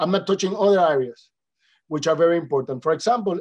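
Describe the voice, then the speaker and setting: A man with a high voice and ordinary pitch variation. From Dominican Republic. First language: Spanish. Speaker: international organization official. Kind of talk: conference presentation. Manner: halting.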